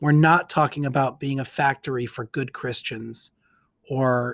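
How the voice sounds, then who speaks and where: In a very clean recording with a silent background and a dry, close sound with no echo, a man of medium pitch speaks in an ordinary speaking voice with fairly even intonation. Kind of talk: casual discussion of scripture and community.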